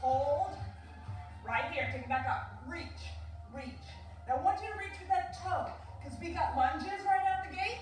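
With faint music behind her and audible echo in the room, a woman talks at a moderate pace, her loudness swinging widely and her pauses long and frequent. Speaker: fitness instructor. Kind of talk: workout instruction. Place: home room. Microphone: camera far.

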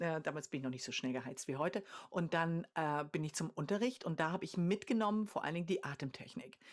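A woman talks very fast against a quiet background, her fairly low voice carrying lively intonation. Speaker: singer and vocal coach; vocal coach. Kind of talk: casual chat. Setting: video call. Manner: contagious laugh. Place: home room.

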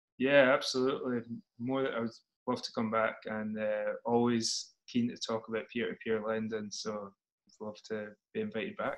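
Speech comes at a moderate pace in a Scottish accent. The intonation stays fairly even. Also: man. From Scotland. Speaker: startup CEO. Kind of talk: interview. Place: home room. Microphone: video call.

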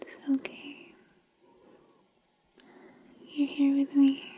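Whispering and soft-spoken, a woman talks in a soothing tone. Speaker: ASMR creator. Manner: soft, tender soothing near-whisper. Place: home room.

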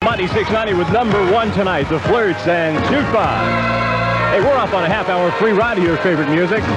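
A man speaks amid loud background noise. The sound itself is dry, with no echo. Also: fairly quick pace. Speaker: radio DJ. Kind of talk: radio station aircheck with promos and call-in prizes. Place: studio. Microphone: old recording.

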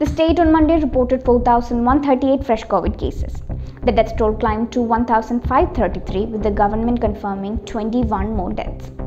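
With faint music in the background, a woman talks at a fairly slow pace with ordinary pitch variation. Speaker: news presenter. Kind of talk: news bulletin reading. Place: office.

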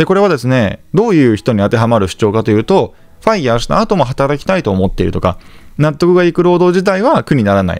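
A man talks at a very fast pace with a fairly high pitch and very wide pitch swings. Music plays in the background. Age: 30s. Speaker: real estate investor and YouTuber. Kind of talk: monologue to camera, informal lecture. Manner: polite, conversational with filler words.

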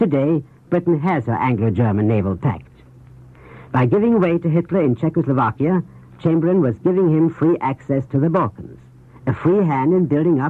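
The man has an unremarkable speaking voice, fairly high in pitch, with lively intonation and a fairly quick pace. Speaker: foreign correspondent and news commentator. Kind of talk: 1930s radio news commentary. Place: studio. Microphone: old recording.

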